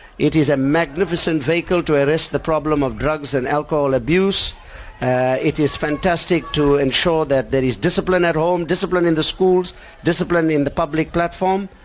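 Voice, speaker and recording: Against noticeable background noise, a man talks at a fairly quick pace and a fairly high pitch. His intonation is fairly even and his loudness very even. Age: 60s. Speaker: karate federation president and instructor. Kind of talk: live interview. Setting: studio.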